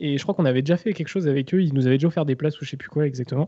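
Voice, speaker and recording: Ordinary pitch variation runs through a man's fairly high voice. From Rennes, Brittany, France. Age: 20s. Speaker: football supporter, social media account. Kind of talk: casual chat.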